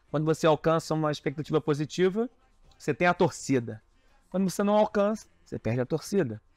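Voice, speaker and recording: A man talks at a fairly quick pace with lively intonation. Faint music plays in the background, and the sound is dry with no echo. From Rio de Janeiro. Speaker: carnival designer; interviewee. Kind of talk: interview. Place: home room. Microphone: lapel.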